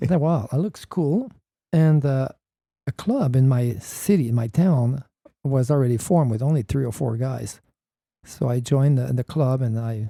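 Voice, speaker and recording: A man with a French Canadian accent speaks in a dark, mellow tone at medium pitch, somewhat breathy. Long, frequent pauses break up his speech. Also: dry, close sound with no echo. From Quebec, Canada. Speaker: paramotor pilot and pioneer. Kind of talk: interview. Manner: halting.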